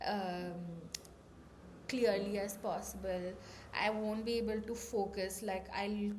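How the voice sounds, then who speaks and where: A somewhat breathy woman's voice at medium pitch, monotone and flat, at a very slow pace with long, frequent pauses and audible room echo. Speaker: vlogger. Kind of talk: personal vlog talk.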